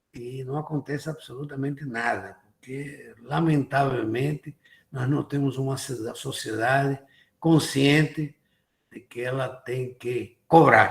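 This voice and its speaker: Very slow, monotone speech from a man at medium pitch, flat in intonation and somewhat breathy. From abroad, not Brazil. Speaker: IT industry association president. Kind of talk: lecture.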